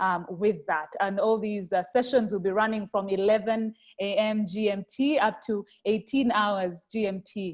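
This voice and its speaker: Speaking with a Rwandan accent, a woman uses a medium pitch and fairly even intonation. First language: Kinyarwanda. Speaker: webinar host. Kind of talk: closing remarks. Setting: video call.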